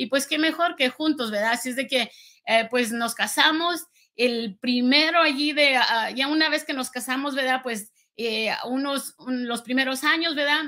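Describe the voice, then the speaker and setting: Against a quiet background, a woman speaks at a fairly slow pace in a raised, projected voice. Her pitch is high and her tone bright and sharp. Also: ordinary pitch variation. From rural Guanajuato, Mexico. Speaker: entrepreneur. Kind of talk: testimony. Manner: halting, many fillers. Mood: reflective, earnest storytelling.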